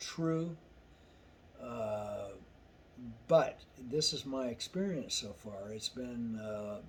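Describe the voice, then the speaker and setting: The man speaks at a very slow pace and medium pitch, his intonation lively. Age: 60s. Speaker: truck driver sharing personal experience. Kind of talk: casual monologue vlog. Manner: halting, many fillers and restarts.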